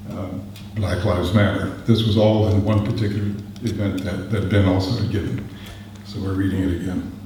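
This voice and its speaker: A man with an American accent speaks in a flat monotone at a fairly low pitch, with audible room echo and noticeable background noise. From US West Coast, San Francisco. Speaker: poet. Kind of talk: poetry reading. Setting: stage with audience.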